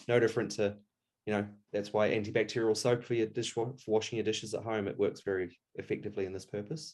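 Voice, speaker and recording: With a New Zealand accent, a man talks at a very fast pace in fairly even intonation. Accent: Kiwi. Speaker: taxidermist. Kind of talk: tutorial.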